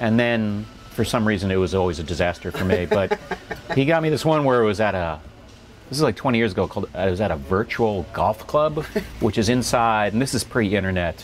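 Over faint background music, a man talks at a fairly quick pace with lively intonation. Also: fairly low pitch for a man. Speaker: stand-up comedian. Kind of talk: interview answer. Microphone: lapel.

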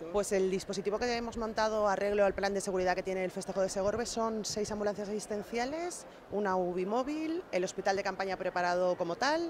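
Against noticeable background noise, a woman speaks at a very fast pace with ordinary pitch variation. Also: dry sound with no echo. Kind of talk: interview answer. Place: street. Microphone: handheld.

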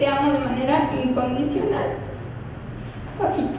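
A woman speaks high at a moderate pace with ordinary pitch variation. Clear background noise and audible room echo surround her.

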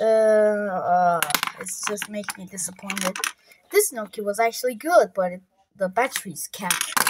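Loud background noise accompanies a woman's voice. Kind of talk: casual vlog chat. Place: home room. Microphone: phone near.

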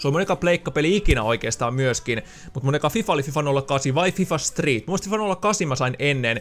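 Over faint music in the background, a man with a fairly high pitch talks at a very fast pace. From Finland, Loimaa area; Finland. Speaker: gaming YouTuber; gaming youtuber. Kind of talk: casual Q&A video monologue. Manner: casual, many filler words. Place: home room. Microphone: studio mic.

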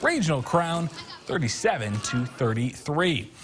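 An energetic tone carries over music in the background. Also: man. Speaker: TV sports anchor. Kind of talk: sports news reading of wrestling highlights. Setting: TV studio. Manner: brisk, clipped play-by-play delivery; energetic, rattling off scores and weights.

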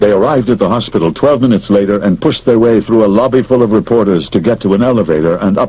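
Ordinary pitch variation runs through the speech. It is plain reading aloud.

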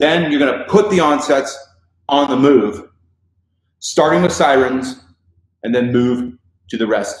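With an American accent and lively intonation, a man speaks fairly slowly with long, frequent pauses in a room with audible echo. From Idaho. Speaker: voice coach. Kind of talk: live stream Q&A. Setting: Facebook live video. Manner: casual, animated. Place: studio.

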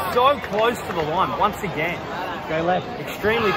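Crowd noise fills the background. A man talks with ordinary pitch variation. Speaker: sports fan vlogger. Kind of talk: commentary. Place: stadium. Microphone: phone near.

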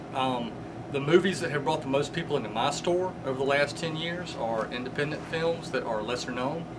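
Fairly quick speech from a man with a fairly high pitch and ordinary pitch movement, noticeable noise behind him. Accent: Southern US. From Mississippi, US South. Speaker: comic shop owner. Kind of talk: interview; interview answer. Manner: halting. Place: shop.

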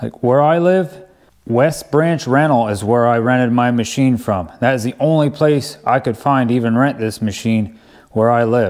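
A man talks at a moderate pace, his pitch varying in an ordinary way, with a quiet background behind him. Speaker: DIY video host. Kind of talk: tutorial. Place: home room.

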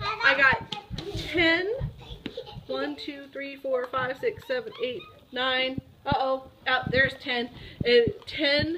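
A woman with an American accent uses a raised, projected voice, high in pitch with very wide pitch swings. Noticeable background noise runs underneath. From Ohio, US Midwest. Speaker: vlogger. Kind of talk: casual vlog talk.

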